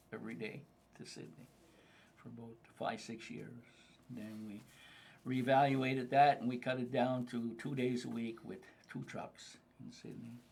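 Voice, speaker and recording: In a Cape Breton accent, a man of medium pitch speaks at a moderate pace with monotone, flat intonation, long, frequent pauses and big swings in loudness. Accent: Cape Breton Nova Scotian English. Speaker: freight business owner. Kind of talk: casual chat. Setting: group conversation over lunch.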